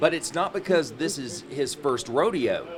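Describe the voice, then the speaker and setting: Noticeable background noise behind a man speaking at a fairly high pitch. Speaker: TV news reporter. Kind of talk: TV news feature narration.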